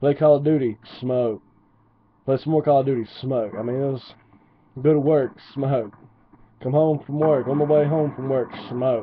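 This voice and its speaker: In an Appalachian accent, a man talks with fairly even intonation. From West Virginia. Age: 20s. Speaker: gaming commentator. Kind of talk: casual gameplay commentary storytelling. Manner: rambling with many fillers.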